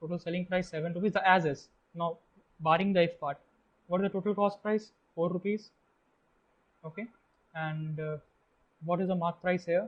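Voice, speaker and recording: A man with an Indian accent speaks at a high pitch and a fairly quick pace, with fairly even intonation. His speech has long, frequent pauses. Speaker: test-prep tutor. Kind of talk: tutorial.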